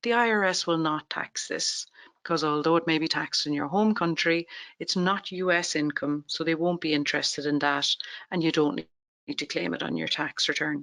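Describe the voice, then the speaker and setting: Someone with an Irish accent talks at a fairly quick pace against a quiet background. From Ireland. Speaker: tax webinar presenter. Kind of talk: webinar presentation.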